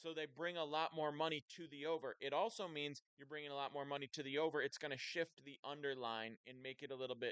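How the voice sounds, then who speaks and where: In a dry, close sound with no echo, a man talks at a fairly quick pace with ordinary pitch variation. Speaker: sports betting streamer. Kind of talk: live stream casual talk. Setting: live stream. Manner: loud.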